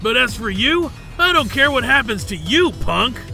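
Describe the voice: A man uses a put-on character voice pitched extremely high, with big pitch swings and vocal fry, while clear music plays in the background. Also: moderate pace.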